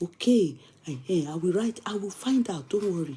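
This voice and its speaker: With a southwestern Nigerian accent, a woman speaks at a moderate pace in a dark, mellow, somewhat breathy tone with lively intonation. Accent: Nigerian Yoruba-accented English. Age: young. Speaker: online show host. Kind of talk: casual live chat. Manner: animated.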